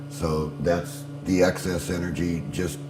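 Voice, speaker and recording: Music can be heard behind the voice. The speaker is a man whose pitch swings very widely. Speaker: inventor. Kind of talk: infomercial pitch.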